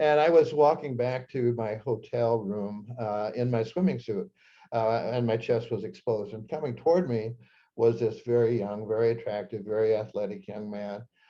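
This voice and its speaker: A man's medium-pitched voice with a Midwestern US accent. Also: ordinary pitch variation, moderate pace. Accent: US Midwest. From Nebraska. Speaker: psychiatrist and author. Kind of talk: talk to an audience, personal storytelling. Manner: halting, many fillers.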